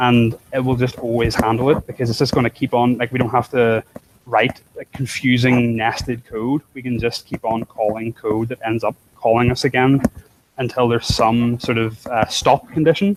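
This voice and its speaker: Fairly even intonation comes through a dry, close sound with no echo. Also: man, medium pitch for a man. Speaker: programming instructor. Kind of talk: live coding tutorial. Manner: fast.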